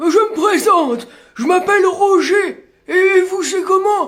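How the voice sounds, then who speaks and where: A man's put-on character voice, extremely high-pitched, at a fairly slow pace. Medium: comedy sketch.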